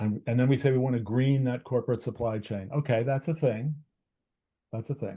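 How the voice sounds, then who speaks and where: A man talks at a fairly quick pace with a medium pitch and fairly even intonation. His voice is somewhat breathy, with a dark, mellow tone. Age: 70s. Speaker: author and slow-money movement founder. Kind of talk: interview conversation. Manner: halting, with restarts and repetitions.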